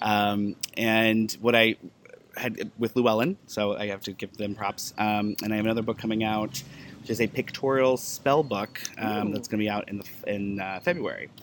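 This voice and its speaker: A man's fairly low voice at a moderate pace, with fairly even intonation and noticeable background noise. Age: 30s. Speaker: author and pagan event coordinator. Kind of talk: casual interview. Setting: at a live event.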